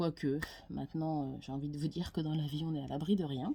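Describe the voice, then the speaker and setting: A woman's very deep, low voice carries a dark, mellow tone at a moderate pace. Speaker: tarot card reader. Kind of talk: casual monologue to camera. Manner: hesitant, many fillers.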